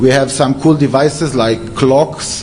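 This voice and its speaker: Speaking with an Israeli accent, this voice comes through audible room echo and noticeable background noise. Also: man. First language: Hebrew. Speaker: security researcher. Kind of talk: conference talk. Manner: halting, many fillers.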